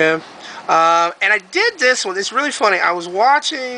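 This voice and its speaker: A man at a moderate pace over noticeable background noise. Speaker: YouTube craft video maker. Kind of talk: casual tutorial showing crafts to camera. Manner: hesitant, many filler ums; off the cuff, unscripted.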